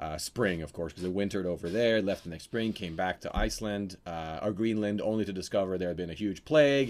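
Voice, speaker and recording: On a very clean recording with a silent background, a man with a very deep, low pitch and ordinary pitch variation talks in an animated tone at a fairly quick pace. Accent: Norwegian. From Norway. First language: Norwegian. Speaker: actor and game master. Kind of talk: casual chat. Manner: animated, jokey.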